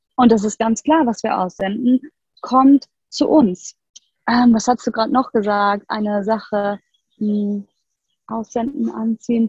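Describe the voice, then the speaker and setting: A woman with a fairly high, somewhat breathy voice speaks at a fairly slow pace. Her intonation stays fairly even, broken by long, frequent pauses. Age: 40s. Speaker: yoga and human design coach. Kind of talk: interview conversation.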